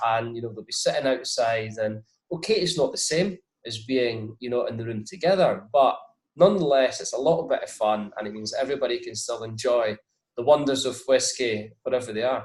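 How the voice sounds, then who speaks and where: A man with a Scottish accent speaks at a fairly quick pace. His loudness swings in big jumps. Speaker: whisky brand ambassador. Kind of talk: interview.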